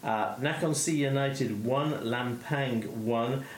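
Very slow delivery with ordinary pitch variation over noticeable background noise. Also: man. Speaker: football podcast host. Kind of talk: casual chat. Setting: remote call.

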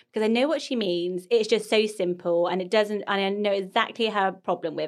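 A woman with medium pitch and lively intonation speaks in a normal speaking voice on a very clean recording with a silent background. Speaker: podcast host. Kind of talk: casual chat.

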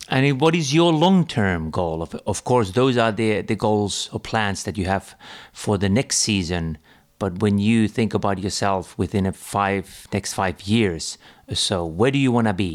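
In a very clean recording with a silent background, an unremarkable speaking voice moves at a fairly slow pace with lively intonation. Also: man, fairly low pitch for a man. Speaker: podcast host. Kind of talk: interview.

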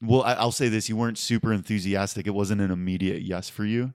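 This man has an unremarkable speaking voice, a fairly low pitch and fairly even intonation. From Pennsylvania, Pittsburgh area. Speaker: comedy writer and comedian. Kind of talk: casual chat.

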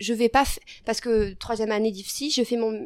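Fairly high-pitched female speech, moderate in pace and fairly even in intonation. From southwestern France (Lot, Figeac). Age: 20s. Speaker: nurse and medical student. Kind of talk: interview.

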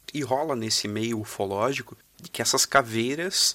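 A man's medium-pitched, bright, sharp voice at a fairly slow pace, with ordinary pitch variation and a dry, close sound free of echo. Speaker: guest storyteller. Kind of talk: storytelling.

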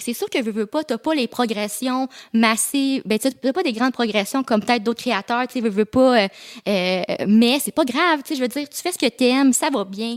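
High-pitched woman at a fairly quick pace, in a dry, close sound with no echo. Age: 20s. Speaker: YouTuber and content creator. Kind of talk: casual chat. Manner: fast.

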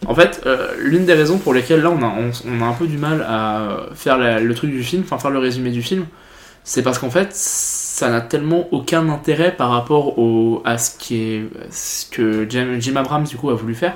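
Noticeable background noise sits behind a man talking at a moderate pace, his medium pitch showing ordinary variation. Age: 20s. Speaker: podcast host. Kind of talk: casual chat.

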